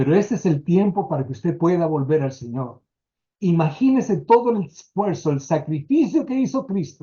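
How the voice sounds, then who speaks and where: The voice is a man's, pitched high. He keeps a moderate pace while his pitch swings very widely. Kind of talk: sermon-style lecture.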